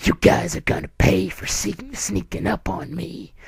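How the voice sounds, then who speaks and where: A gravelly, gruff put-on character voice, low-to-middle in pitch, menacing in tone, at a moderate pace with big swings in loudness. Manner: evil, menacing.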